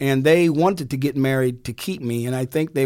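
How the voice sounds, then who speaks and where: An unremarkable speaking voice with an American accent, at a moderate pace. The recording is very clean, with a silent background. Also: man. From Indiana (South Bend) and Newark, New Jersey. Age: 60s. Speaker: lawyer and radio music host. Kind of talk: interview. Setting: studio.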